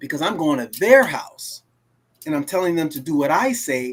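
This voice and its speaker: His pitch rises and falls across a very wide range. The man's delivery moves at a fairly quick clip. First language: Creole (French-based). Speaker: livestream host. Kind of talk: casual chat. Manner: halting, with many restarts.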